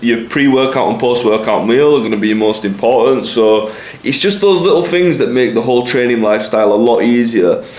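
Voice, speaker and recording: A man with an English accent talks with hardly any pauses, very even loudness and lively intonation, against noticeable background noise and audible room echo. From England. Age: 20s. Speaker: lifestyle vlogger. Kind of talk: casual vlog monologue.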